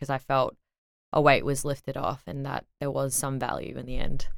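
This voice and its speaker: Speaking at a moderate pace, a woman with an Australian accent has a very deep, low pitch. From Brisbane, Australia. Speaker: DJ. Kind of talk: casual interview chat.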